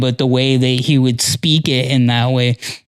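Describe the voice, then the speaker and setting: Delivered at a moderate pace, the speech carries noticeable background noise. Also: man. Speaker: podcast co-host. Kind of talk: casual chat. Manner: long pauses; halting.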